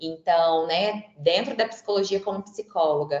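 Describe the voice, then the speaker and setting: Medium in pitch, this woman's voice holds fairly even intonation. She speaks without much rise or fall. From Franca, interior of São Paulo state, Brazil. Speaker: psychologist and career coach. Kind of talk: webinar talk. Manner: conversational, frequent filler words.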